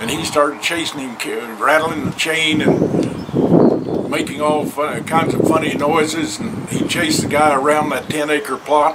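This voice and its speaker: This man's voice sits fairly high, moving at a fairly slow pace with hardly any pauses and fairly even intonation over noticeable background noise. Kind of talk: storytelling, folksy tall tale told to camera.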